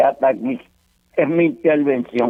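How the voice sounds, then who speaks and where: Speaking in a Puerto Rican accent, a man talks at a fairly slow pace with a fairly high pitch. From Puerto Rico, Santurce. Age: 80s+. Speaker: caller. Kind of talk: reading aloud own writing. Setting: phone call.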